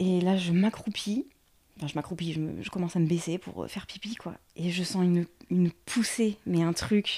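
A woman with a fairly low pitch and a dark, mellow tone speaks at a moderate pace with fairly even intonation. Her somewhat breathy voice sits in a very clean recording with a silent background. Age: 30s. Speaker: nursery nurse, new mother telling birth story. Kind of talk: birth story testimony.

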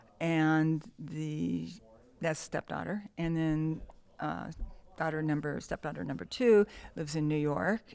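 A woman with an American accent speaks at a fairly slow pace with long, frequent pauses. Her very deep, low pitch has ordinary pitch variation. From Southern California, Downey. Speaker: nurse and Rotary club president. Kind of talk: casual interview chat.

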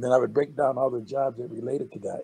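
Somewhat breathy and dark, mellow in tone, the voice carries an American accent and moves at a fairly quick pace. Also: man. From Texas. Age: 70s. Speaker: animator. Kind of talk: casual interview.

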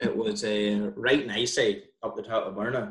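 This man has a medium pitch and a Northern Irish accent. He speaks with monotone, flat intonation. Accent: Northern Irish (County Down). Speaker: dentist. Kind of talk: casual chat.

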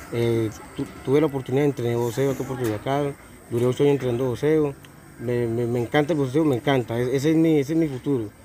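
A man at a very fast pace, medium in pitch, with fairly even intonation over noticeable background noise. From Colombia, Puerto Boyacá. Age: 20s. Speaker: homeless man, drug user. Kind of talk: street interview. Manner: halting, many repetitions.

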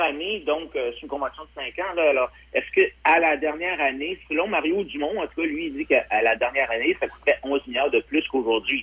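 At a moderate pace, a man with a fairly high pitch talks with very wide pitch swings. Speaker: political commentator. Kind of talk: phone-in political commentary.

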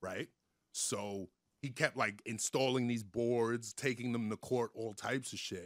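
A man talks in an unremarkable speaking voice at a medium pitch and fairly slow pace. His intonation is fairly even, and the sound is dry and close with no echo. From New York. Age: 40s. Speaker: comedian. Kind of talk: casual chat.

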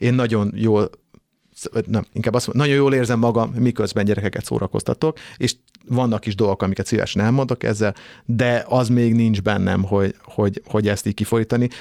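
Dry and close with no echo on a very clean recording with a silent background, a man of medium pitch speaks at a fairly quick pace with very even loudness and fairly even intonation. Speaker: singer and band frontman. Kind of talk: casual chat. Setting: studio.

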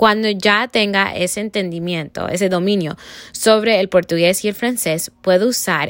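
A woman with a plain, everyday voice talks at a fairly slow pace, her medium pitch showing ordinary variation. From Cuba, raised in the US. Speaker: student. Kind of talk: class presentation reflection.

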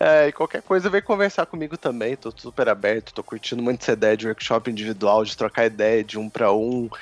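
A man at a medium pitch and a fairly quick pace, hardly any pauses, ordinary pitch variation, dry, close sound with no echo, and music in the background. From southern Minas Gerais, Brazil. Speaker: photographer. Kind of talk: casual chat.

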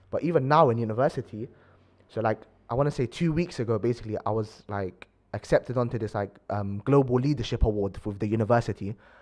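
A man with a London accent, talking at a very fast pace, with ordinary pitch variation. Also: medium pitch for a man. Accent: London multicultural English. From London (Acton, west London). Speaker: university student, aspiring lawyer. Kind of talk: casual chat.

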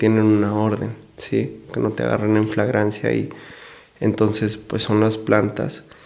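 The man's pitch is fairly low, and he speaks at a fairly slow pace. Room echo can be heard. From Mexico, Delicias, Chihuahua. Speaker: lawyer. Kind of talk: casual interview. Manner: hesitant, many fillers.

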